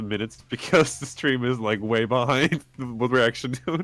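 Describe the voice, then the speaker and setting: At a fairly quick pace, a man with a normal speaking voice talks at medium pitch. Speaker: voice actor. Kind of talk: casual chat. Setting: live stream.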